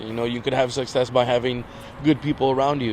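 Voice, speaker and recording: There is noticeable background noise. Over it, a man speaks at medium pitch. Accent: American. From Inglewood, Los Angeles, California. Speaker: guest. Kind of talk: casual chat. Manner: loud; animated.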